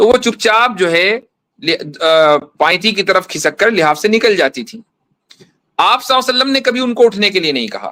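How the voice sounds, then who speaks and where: The voice is raised and projected, with lively intonation. The pace is moderate. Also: man, high pitch for a man. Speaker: Islamic scholar, mufti. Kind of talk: religious debate.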